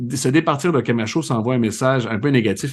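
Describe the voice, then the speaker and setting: A man talks at a fairly quick pace and a medium pitch. He speaks in a slight Laurentides accent. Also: quiet background. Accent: Saint-Jérôme Quebec accent, slight. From Quebec, Saint-Jérôme. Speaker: soccer podcast host and TV commentator. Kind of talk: casual podcast chat.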